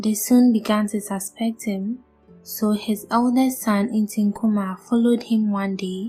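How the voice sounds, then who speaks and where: A soft-spoken woman, fairly high in pitch, at a fairly slow pace with monotone, flat intonation, music in the background. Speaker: storyteller. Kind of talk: bedtime story narration.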